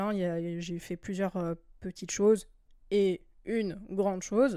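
Her voice has a dark, mellow tone and sits at a medium pitch. The audio is very clean, and nothing can be heard behind her. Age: 20s. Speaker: podcast host. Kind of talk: solo monologue podcast. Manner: hesitant, many filler words.

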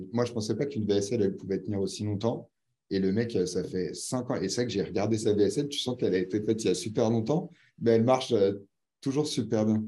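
Talking at a fairly quick pace, a man with a fairly low pitch and a dark, mellow tone shows ordinary pitch variation. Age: 30s. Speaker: online business founder. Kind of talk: casual interview.

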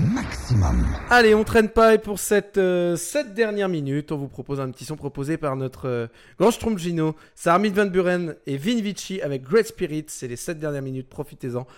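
Lively intonation and an animated tone carry this moderately paced voice, with big swings in loudness, in a very clean recording with a silent background. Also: man, high pitch for a man. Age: 20s. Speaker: radio host. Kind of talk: radio show presenting.

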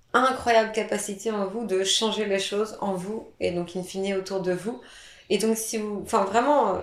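A woman speaks at a moderate pace in a medium pitch with monotone, flat intonation, against noticeable background noise. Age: 30s. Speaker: hypnotherapist. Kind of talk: interview.

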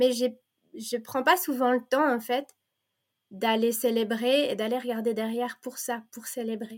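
Leaving long, frequent pauses, a high-pitched woman speaks at a fairly slow pace. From Belgium (French-speaking), born in Provence. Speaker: teacher and women's circle facilitator. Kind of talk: casual interview chat. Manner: halting, many hesitations.

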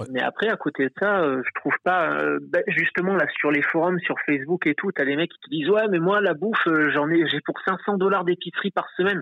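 With hardly any pauses, a man talks at a high pitch and a moderate pace, using ordinary pitch variation and big swings in loudness. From France. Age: 30s. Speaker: optician, immigrant. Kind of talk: interview. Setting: phone call.

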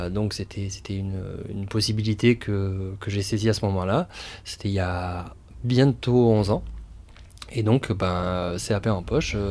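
With fairly even intonation and a fairly low pitch, a man speaks at a very slow pace, pausing long and often. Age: 30s. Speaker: restaurant co-founder and chef. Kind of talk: interview. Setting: outdoor guinguette on location. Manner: halting, many fillers and repetitions.

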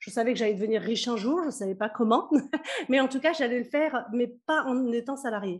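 With ordinary pitch variation, a woman speaks in a high-pitched voice. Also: fairly quick pace. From Kabylie, Algeria, raised in France. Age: 40s. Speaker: business coach. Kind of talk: interview.

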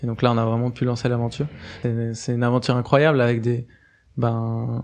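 Fairly quick in pace, a man speaks at a medium pitch. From Switzerland, Geneva. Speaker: cooperative cofounder. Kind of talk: interview. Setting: studio. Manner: halting, frequent fillers.

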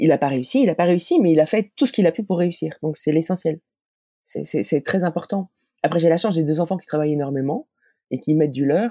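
A woman speaks at a fairly quick pace in a fairly low, dark, mellow voice with ordinary pitch variation, the sound dry and close with no echo. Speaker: parent and advocate for children with learning disorders. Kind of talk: interview testimony. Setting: remote call. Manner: fast with frequent hesitations.

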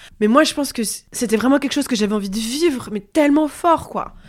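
On a very clean recording with a silent background, a woman talks at a fairly quick pace with ordinary pitch variation. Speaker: journalist and author. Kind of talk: personal testimony interview. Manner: hesitant, many fillers.

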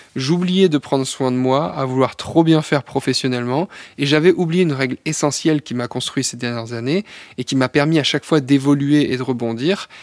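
At a moderate pace, a man talks in an ordinary speaking voice, fairly high in pitch with ordinary variation, recorded dry and close with no echo, very clean against a silent background. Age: 30s. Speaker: entrepreneur and health coach. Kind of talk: podcast monologue.

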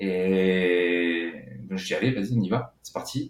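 A man talks at a fairly slow pace. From southern France, Cévennes (Gard). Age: 30s. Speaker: session drummer and composer. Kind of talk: interview.

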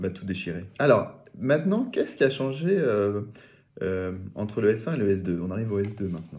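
Over audible room echo, a man with a fairly low pitch talks at a moderate pace with lively intonation. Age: 30s. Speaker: podcast host. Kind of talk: interview. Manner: halting, repeats words.

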